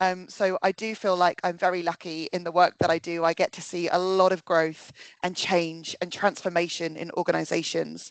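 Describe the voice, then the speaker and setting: With a British accent, a woman speaks at a moderate pace and a fairly low pitch, recorded dry and close with no echo against a quiet background. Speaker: workplace consultant, psychologist. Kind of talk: webinar presentation. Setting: video call webinar.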